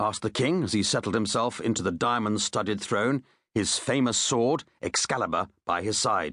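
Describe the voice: Plain reading aloud fills the clip. Its pitch varies in an ordinary way against a quiet background.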